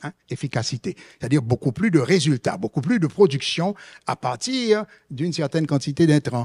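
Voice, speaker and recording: Recorded dry and close with no echo, a man speaks in a somewhat breathy voice with lively intonation. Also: moderate pace. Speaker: economist, conference panelist. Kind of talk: conference presentation. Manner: hesitant, many fillers and repetitions.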